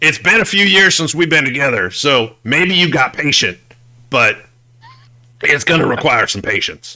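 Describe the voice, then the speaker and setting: A man's put-on character voice, raspy and gravelly, fairly high in pitch, at a moderate pace. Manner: smoker's voice.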